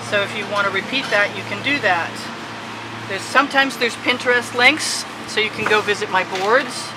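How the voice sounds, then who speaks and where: Noticeable background noise sits behind a woman speaking at a fairly quick pace. Her pitch is fairly high, with ordinary variation. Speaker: fluid acrylic artist. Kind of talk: tutorial. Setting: outdoor backyard art studio. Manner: stumbling, with filler ums.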